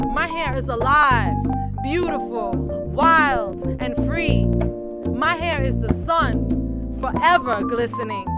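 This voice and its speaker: A woman's very slow speech, dry and echo-free, over loud background music. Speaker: poet. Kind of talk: spoken word poetry performance. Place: street. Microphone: studio mic.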